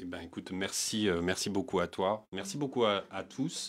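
The man's pitch is fairly low. He speaks at a fairly slow pace. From Paris, 18th arrondissement. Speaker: singer-songwriter; guest. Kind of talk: interview. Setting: studio. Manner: halting, many hesitations. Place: studio. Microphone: handheld.

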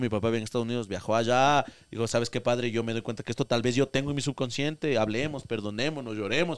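A man of medium pitch at a very fast pace, hardly any pauses, quiet background. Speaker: content creator; podcast guest or host. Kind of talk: casual chat. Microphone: handheld.

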